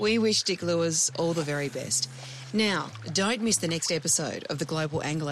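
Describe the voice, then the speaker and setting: In an Australian accent, a woman with a fairly low pitch speaks at a moderate pace with lively intonation. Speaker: podcast host. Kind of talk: casual chat and narration.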